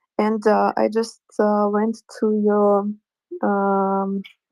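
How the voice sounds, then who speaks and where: A Russian accent in dry, close sound with no echo. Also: woman. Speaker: artist, audience member. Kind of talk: casual chat. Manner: halting.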